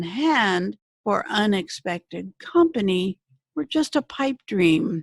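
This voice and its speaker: A woman speaks at a very slow pace, her pitch swinging very widely. Her somewhat breathy voice sounds dry and close, with no echo. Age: 70s. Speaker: essay writer reading her own essay. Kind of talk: reading aloud.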